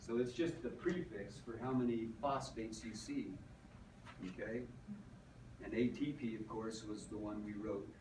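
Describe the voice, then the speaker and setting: A man talks at a medium pitch with ordinary pitch variation, leaving long, frequent pauses. Noticeable background noise and audible room echo fill the recording. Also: moderate pace. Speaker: teacher. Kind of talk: lecture.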